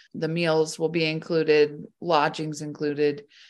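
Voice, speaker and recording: A woman speaks with an American accent in a very deep, low voice. The background is quiet. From Bozeman, Montana. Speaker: psychiatric social worker. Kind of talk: casual interview.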